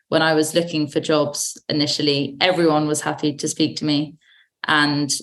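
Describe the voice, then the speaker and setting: Speaking at a moderate pace, a woman has a very deep, low voice. The background is quiet. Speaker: young ambassador, public affairs consultant. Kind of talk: casual roundtable discussion.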